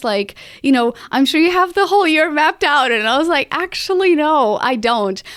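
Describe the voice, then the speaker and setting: A woman with a non-native accent speaks at a moderate pace with lively intonation. The sound is dry and close, with no echo. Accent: foreign. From Portugal. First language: Portuguese. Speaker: podcast strategist and host. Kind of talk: solo podcast monologue. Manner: casual, conversational with fillers.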